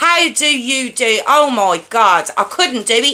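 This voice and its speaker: A woman speaks in a raised, projected voice. Her pace is very slow. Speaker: true crime livestream host. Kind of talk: casual chat with live chat viewers. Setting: livestream with headphones. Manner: loud.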